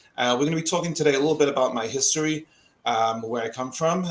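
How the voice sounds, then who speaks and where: In an American accent, a man talks with ordinary pitch variation. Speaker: company president and industry expert. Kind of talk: webinar presentation. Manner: frequent hesitations and fillers.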